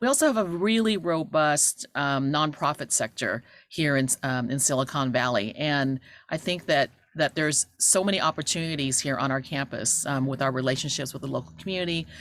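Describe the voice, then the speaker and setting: A woman talks at a fairly quick pace with lively intonation. Her pitch is very deep and low. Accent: Cantonese. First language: Cantonese. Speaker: university administrator. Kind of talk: welcome speech. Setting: video call. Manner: hesitant, many fillers.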